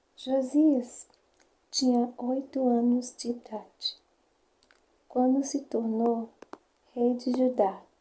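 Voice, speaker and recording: A whispered, soft-spoken voice at a very slow pace, broken by long, frequent pauses. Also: woman. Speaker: ASMR creator. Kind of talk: ASMR bible story reading. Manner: whispering.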